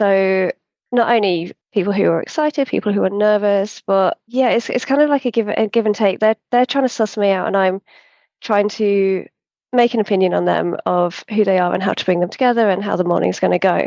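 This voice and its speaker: In an English accent, a woman speaks in a calm tone at a fairly quick pace and medium pitch, with ordinary pitch variation, very even loudness, and a dry, close sound with no echo. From central England. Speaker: hot air balloon pilot. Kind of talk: interview conversation.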